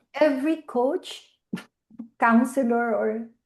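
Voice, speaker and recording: A woman speaks at a fairly high pitch with lively intonation. Her tone is dark and mellow. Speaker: talk show host. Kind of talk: interview. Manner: enthusiastic.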